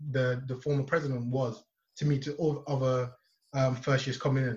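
A somewhat breathy voice at a moderate pace. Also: man. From Nigeria. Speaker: university law student, student society president. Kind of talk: casual interview. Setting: video call.

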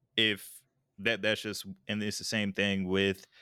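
A man with an American accent speaks in an unremarkable speaking voice, fairly low in pitch, with a dry, close sound and no echo. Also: very clean recording, silent background. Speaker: podcast host, former military. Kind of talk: casual chat. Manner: casual, slangy.

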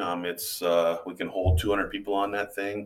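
With an Upper Midwest accent, a man with a fairly low pitch talks in a monotone, flat intonation. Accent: Upper Midwest American. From Iowa. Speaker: teacher and tour boat captain. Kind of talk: interview. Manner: halting, many fillers.

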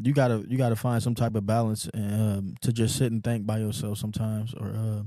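A man with an American accent speaks at a medium pitch in a dark, mellow tone. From Houston, Texas. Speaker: podcast guest. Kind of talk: casual chat.

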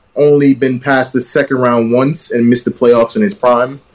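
At medium pitch, a man speaks in an unremarkable speaking voice. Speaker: podcast co-host. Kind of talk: casual sports banter. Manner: laid-back, slangy.

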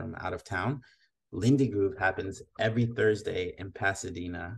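A man speaks at a fairly low pitch with a somewhat breathy voice against a quiet background. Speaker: podcast host. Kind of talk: casual interview chat. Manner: enthusiastic.

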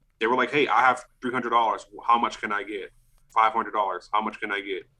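In a plain, everyday voice, a man speaks at medium pitch and a moderate pace. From US South, New Orleans. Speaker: vintage clothing seller. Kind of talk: casual chat.

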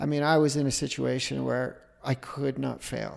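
At a moderate pace, the speaker talks with a Utah accent in a very clean recording with a silent background. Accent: American (Utah). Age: 50s. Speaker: entrepreneur and filmmaker. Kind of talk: interview testimony.

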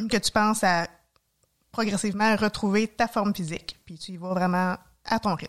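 A woman with a Quebec accent speaks at a moderate pace and medium pitch. Her intonation is fairly even, on a very clean recording with a silent background. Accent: Québécois French. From Quebec, Mauricie (Trois-Rivières area). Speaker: nurse and hiker. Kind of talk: casual interview.

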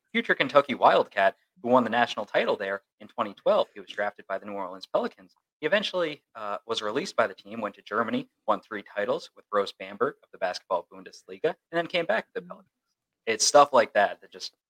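A man at a very fast pace with hardly any pauses, big swings in loudness, and a dry, close sound with no echo. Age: 20s. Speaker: sports reporter and podcast co-host. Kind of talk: casual chat.

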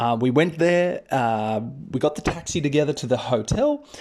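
A man with an Australian accent, fairly high in pitch, at a moderate pace with ordinary pitch variation. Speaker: English teacher and podcaster. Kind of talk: casual monologue, storytelling to learners. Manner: friendly, conversational, with fillers.

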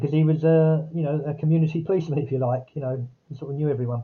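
With a southern English accent, a man talks at a very fast pace in a fairly high voice with fairly even intonation. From Epsom, Surrey, England. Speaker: author and publisher. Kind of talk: interview.

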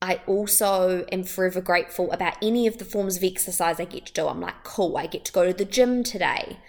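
A woman with a New Zealand accent speaks at a medium pitch in an upbeat, animated tone. Her pace is fairly quick, with hardly any pauses. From New Zealand, Wellington. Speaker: wellbeing podcast host. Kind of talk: solo motivational podcast talk.

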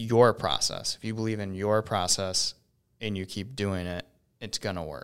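Here is an unremarkable speaking voice at a moderate pace. The recording is very clean, with a silent background. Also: man, fairly low pitch for a man, fairly even intonation. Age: 30s. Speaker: entrepreneur and company CEO. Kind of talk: casual chat.

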